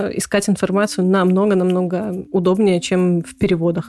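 A woman speaks at a fairly quick pace with a medium pitch. Her intonation is monotone and flat, with music playing in the background. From Belarus, Gomel. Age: 30s. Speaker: podcast co-host. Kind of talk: casual chat.

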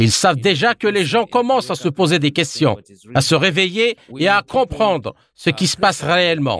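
A man's high-pitched voice, with very wide pitch swings and very even loudness, comes through in a dry, close sound with no echo. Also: moderate pace. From Zimbabwe. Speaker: activist. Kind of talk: interview.

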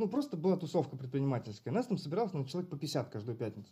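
Speaking at a very fast pace, a man uses a high voice with very wide pitch swings. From Russia, Bryansk region (Karachev). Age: 30s. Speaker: entrepreneur, online marketplace seller and course founder. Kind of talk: interview. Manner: halting, with many fillers.

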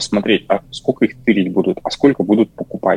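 This man's fairly low voice has ordinary pitch variation and a dry, close sound with no echo. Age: 30s. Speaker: project manager. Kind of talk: casual chat.

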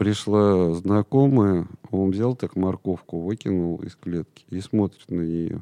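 In a very deep, low pitch and a dark, mellow tone, a man speaks at a very slow pace with ordinary pitch variation, in a dry, close sound with no echo. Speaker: parrot trainer. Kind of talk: casual chat. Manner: energetic.

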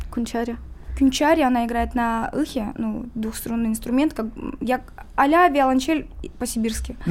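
A woman speaks in a high voice with ordinary pitch variation. Her speech has long, frequent pauses. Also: moderate pace. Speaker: musician. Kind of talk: interview.

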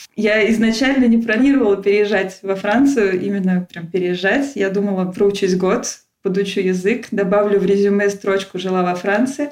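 A woman in a normal speaking voice, medium pitch, moderate pace and fairly even intonation. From Russia, Tula. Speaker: emigrant guest. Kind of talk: casual interview.

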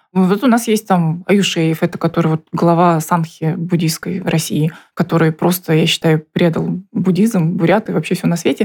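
Somewhat breathy, a woman's fairly low voice keeps fairly even intonation. Her pace is moderate. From Buryatia, Russia (Ulan-Ude). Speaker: interviewee. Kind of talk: interview testimony.

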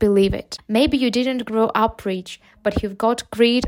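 A woman with a Ukrainian accent speaks at a fairly slow pace, her fairly high voice carrying fairly even intonation. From Ukraine. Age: 20s. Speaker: English teacher and podcaster. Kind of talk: motivational talk for English learners.

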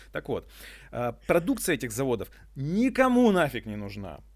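On a very clean recording with a silent background, a man with an energetic tone, vocal fry and a fairly high pitch swings his pitch very widely at a moderate pace. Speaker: eco-activist and entrepreneur. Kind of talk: casual interview chat. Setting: eco-loft venue.

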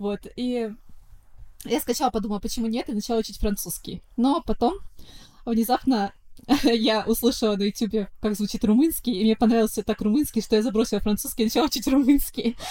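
A woman's fairly high voice in a dark, mellow tone, with ordinary pitch variation, a fairly quick pace and long, frequent pauses. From St Petersburg, Russia. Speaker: pop singer. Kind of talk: interview chat.

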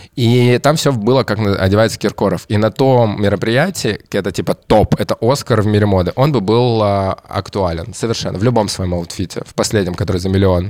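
A man's fairly low voice at a moderate pace, with ordinary pitch variation and hardly any pauses, on a very clean recording with a silent background. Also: dry, close sound with no echo. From Kamchatka, Russian Far East. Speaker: stylist. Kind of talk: casual chat.

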